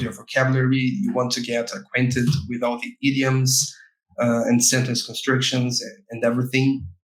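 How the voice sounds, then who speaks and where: With a Portuguese accent, a man speaks at a medium pitch and a moderate pace, his intonation fairly even. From Brazil, Rio de Janeiro. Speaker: game localization specialist. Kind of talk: podcast interview. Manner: halting, many fillers and repetitions.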